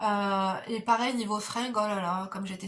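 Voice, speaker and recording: A woman speaks in a fairly high voice. Her intonation stays monotone and flat. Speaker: beauty vlogger and mother. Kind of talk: casual chat while doing makeup. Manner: soft-spoken. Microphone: no microphone, camera audio.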